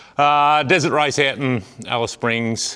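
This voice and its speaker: A man talks with an Australian accent. His pace is moderate. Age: 40s. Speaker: farmer and amateur motorbike racer. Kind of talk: vlog. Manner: hesitant, many fillers.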